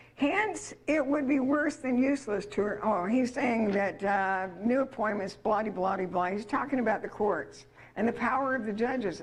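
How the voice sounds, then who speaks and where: A woman with an American accent talks at a moderate pace with hardly any pauses, a fairly high pitch, and ordinary pitch variation. Audible room echo surrounds her voice. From Utah, US West. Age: 70s. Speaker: seminar speaker. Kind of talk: lecture. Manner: animated.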